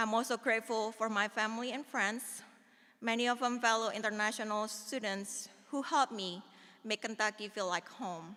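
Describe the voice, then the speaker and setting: The tone is bright and sharp, with fairly even intonation and a moderate pace. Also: woman, fairly high pitch for a woman. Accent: Indonesian. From Indonesia. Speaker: alumna speaker, pharmaceutical scientist. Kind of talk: ceremonial speech. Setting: auditorium ceremony with audience.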